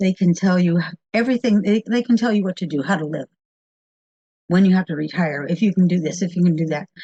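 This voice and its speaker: With an American accent, a woman speaks at a medium pitch in a dark, mellow, somewhat breathy tone, with ordinary pitch variation and a dry, close sound with no echo. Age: 70s. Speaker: radio producer. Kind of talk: interview.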